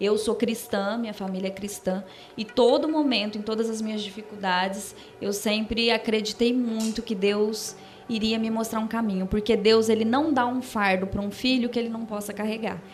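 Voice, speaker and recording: Music plays behind a woman speaking at a fairly high pitch and a moderate pace. Her intonation is monotone and flat, and room echo is audible. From Brazil, Ribeirão Preto (São Paulo state). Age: 30s. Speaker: singer, interview guest. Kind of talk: interview testimony.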